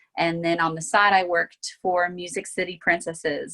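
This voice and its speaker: Against a quiet background, a woman with a fairly low pitch speaks in a monotone, flat intonation. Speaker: singer and virtual choir creator. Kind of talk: panel discussion.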